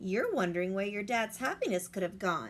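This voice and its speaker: A woman's put-on character voice, medium in pitch, at a moderate pace over clear background noise. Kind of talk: bedtime story. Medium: read story.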